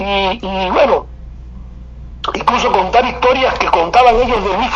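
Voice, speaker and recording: A man's high-pitched voice at a moderate pace, over noticeable background noise. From Cuba. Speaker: oral storyteller and artist. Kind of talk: casual interview.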